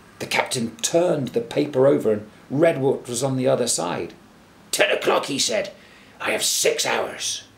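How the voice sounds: A natural reading voice is heard here.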